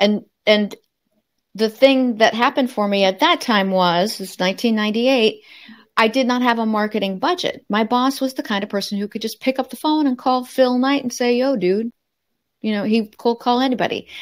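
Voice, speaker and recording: Fairly quick speech from a woman at a fairly high pitch with ordinary pitch variation, in a very clean recording with a silent background. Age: 60s. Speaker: marketing consultant and speaker. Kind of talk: casual interview chat. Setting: podcast interview. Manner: energetic.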